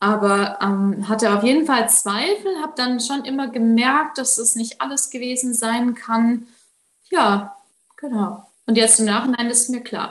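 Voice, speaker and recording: At a fairly slow pace, a woman talks in a high voice with ordinary pitch variation. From Baden-Württemberg, Germany. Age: 20s. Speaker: coaching client. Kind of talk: interview testimony.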